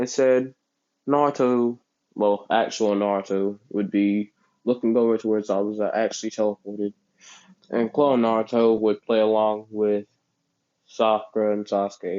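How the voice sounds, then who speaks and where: A man speaks at a moderate pace and a fairly low pitch, leaving long, frequent pauses. His loudness stays very even and his intonation is monotone and flat. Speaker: fan fiction storyteller. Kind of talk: casual improvised storytelling.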